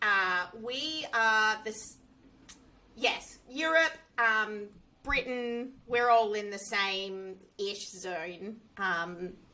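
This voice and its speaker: A woman with an Australian accent talks at a very slow pace and a fairly high pitch, with ordinary pitch variation. Her tone is bright and sharp, and her loudness swings widely. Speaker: software engineer. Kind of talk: interview.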